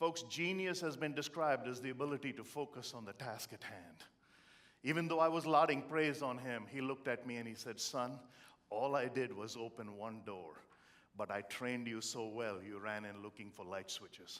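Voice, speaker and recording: Speaking with an Indian accent, a man uses lively intonation at medium pitch. His moderate delivery has big swings in loudness. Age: 50s. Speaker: motivational speaker. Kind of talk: motivational speech. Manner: animated.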